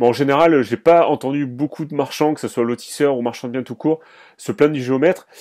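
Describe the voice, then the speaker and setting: Moving at a fairly quick pace, a man talks in a dark, mellow tone. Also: quiet background. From France, Dordogne. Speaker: podcast host. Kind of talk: interview. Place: home room. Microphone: studio mic.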